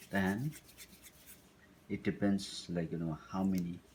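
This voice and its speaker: Very slowly, a man with a Tibetan accent speaks at a very deep, low pitch, his tone dark and mellow and his pitch variation ordinary. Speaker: cooking instructor. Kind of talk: cooking tutorial. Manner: halting, with many fillers.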